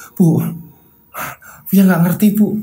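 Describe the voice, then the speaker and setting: Middle pitch in a put-on character voice. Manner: scared, confused, pleading.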